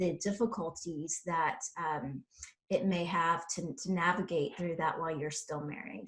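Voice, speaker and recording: A woman with an unremarkable speaking voice and a fairly low pitch talks at a fairly slow pace with ordinary pitch variation. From South Carolina. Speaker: podcast host. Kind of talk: interview.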